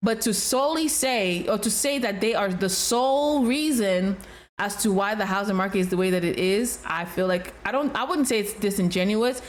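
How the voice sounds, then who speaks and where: A woman with a slight Nigerian accent speaks at medium pitch and a moderate pace, with ordinary pitch variation, very even loudness and audible room echo. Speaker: realtor, reaction video host. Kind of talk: reaction commentary. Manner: casual, conversational with hesitations.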